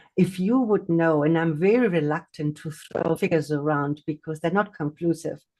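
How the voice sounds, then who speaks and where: Her voice has a dark, mellow tone. This woman's pitch runs fairly low. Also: quiet background. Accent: non-native. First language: not English. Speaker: hypnotherapist and mindfulness teacher. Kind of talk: livestream talk. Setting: livestream on video call. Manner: hesitant, many fillers and repetitions.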